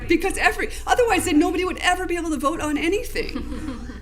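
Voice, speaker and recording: With hardly any pauses, a woman speaks at an extremely high pitch with lively intonation, amid audible room echo and noticeable background noise. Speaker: ethics trainer, lawyer. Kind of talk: training presentation. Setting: public meeting. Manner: fast.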